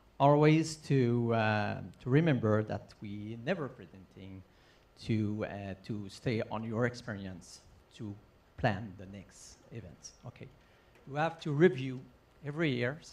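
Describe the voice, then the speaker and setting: Speaking with a non-native accent at a fairly slow pace, this voice has lively intonation and big swings in loudness. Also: man, medium pitch for a man. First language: not English. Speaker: open water race director. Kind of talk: conference talk. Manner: halting, many fillers.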